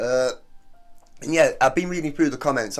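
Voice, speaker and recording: Music plays in the background as a man with a British accent talks at a very fast pace. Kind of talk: casual reaction video talk to camera. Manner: chatty, informal.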